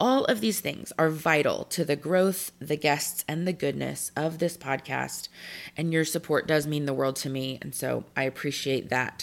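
A woman with an American accent, very deep and low in pitch, with vocal fry, ordinary pitch variation and a moderate pace. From Texas. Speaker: podcast host. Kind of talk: scripted announcements; podcast interview.

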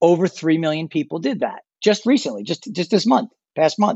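Speaking at a fairly quick pace, a man with an unremarkable speaking voice has a fairly high pitch and lively intonation. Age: 50s. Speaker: travel industry expert. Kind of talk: interview.

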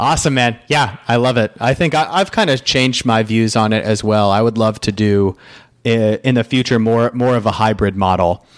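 This man has a plain, everyday voice at medium pitch, speaking at a moderate pace with ordinary pitch variation. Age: 30s. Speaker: podcast host. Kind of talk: casual interview chat.

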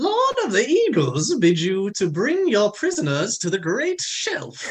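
A man puts on a character voice that is shrill and high-pitched. He talks at a fairly slow pace.

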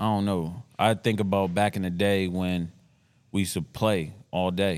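The recording is very clean with a silent background, and a man speaks at a moderate pace in a very deep, low voice with monotone, flat intonation. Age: 30s. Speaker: podcast co-host, former athlete. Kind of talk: casual banter.

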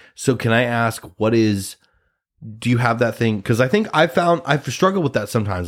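A man with a Midwestern American accent speaks at medium pitch and a moderate pace. His pitch swings very widely, in a very clean recording with a silent background. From US Midwest, Nebraska. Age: 30s. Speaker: podcast host, actor. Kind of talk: casual chat.

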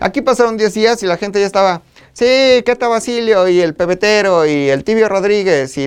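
With a central Mexican accent, a man speaks in an animated tone at a high pitch and a moderate pace. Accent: Mexican Spanish, central Mexico. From Mexico, State of Mexico. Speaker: podcast host. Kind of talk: casual chat.

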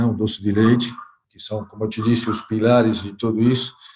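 Somewhat breathy, a man speaks at medium pitch with monotone, flat intonation. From Argentina. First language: Spanish (speaking Portuguese). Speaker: company director. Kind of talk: interview. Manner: halting.

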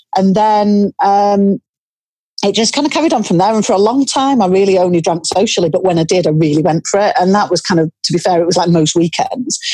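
With a Cumbrian accent, a woman talks at a fairly quick pace in a dark, mellow tone, her intonation lively and her loudness very even. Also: medium pitch for a woman. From northern England, Cumbria. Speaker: author. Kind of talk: interview.

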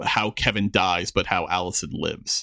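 A man with an American accent speaks in a bright, sharp tone. The sound is dry and close, with no echo. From Queens, New York. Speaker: podcast host. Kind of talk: casual chat.

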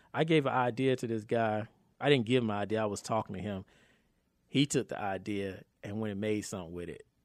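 Using an ordinary speaking voice, a man with an American accent talks at a medium pitch with ordinary pitch variation. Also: very clean recording, silent background. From North Carolina, Raleigh. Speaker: film producer and actor. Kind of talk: casual interview chat.

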